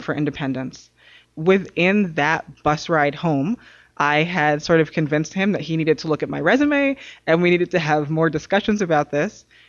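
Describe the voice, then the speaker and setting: A woman speaks at a fairly quick pace in an ordinary speaking voice. Her pitch is fairly low, with ordinary pitch variation. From New York City. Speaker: advocacy coordinator and author. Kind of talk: casual interview.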